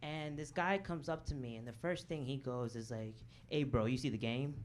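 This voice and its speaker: With an American accent and lively intonation, a man talks at a moderate pace in audible room echo. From Chicago south suburbs. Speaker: comedian. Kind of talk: stand-up. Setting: stage with audience.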